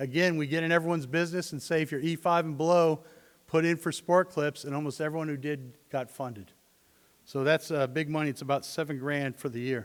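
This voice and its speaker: In an ordinary speaking voice, a man talks at a fairly quick pace and a fairly high pitch with fairly even intonation. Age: 60s. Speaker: army veteran and student veterans program advisor. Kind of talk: conference presentation.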